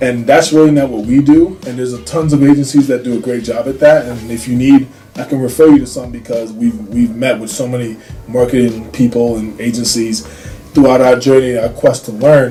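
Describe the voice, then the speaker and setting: A man at a medium pitch and fairly quick pace, with ordinary pitch variation, big swings in loudness and music in the background. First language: not English. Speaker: business owner, marketing agency founder. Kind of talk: casual explainer video. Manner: halting, many fillers.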